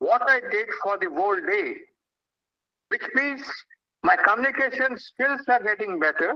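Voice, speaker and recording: A man's extremely high, raised and projected voice with lively intonation at a moderate pace. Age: 70s. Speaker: invited speaker at a youth event. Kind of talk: public talk to schoolchildren.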